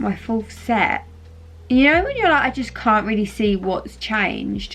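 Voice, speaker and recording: Over clear background noise, the words come out rather slowly. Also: woman. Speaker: vlogger. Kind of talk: casual vlog talk to camera. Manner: chatty, lots of fillers.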